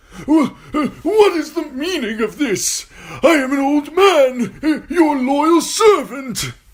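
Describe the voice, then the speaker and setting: This put-on character voice is high-pitched and delivered at a very slow pace. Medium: read story. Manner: pleading, quavering.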